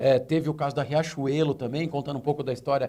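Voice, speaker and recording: A man talks very fast in a dark, mellow tone. His voice is somewhat breathy, with fairly even intonation. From Brazil. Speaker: retail consultant. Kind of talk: tv interview. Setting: studio.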